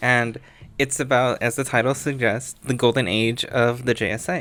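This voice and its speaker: With music in the background, the voice moves at a fairly slow pace. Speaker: comic book reviewer. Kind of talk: casual talk to camera.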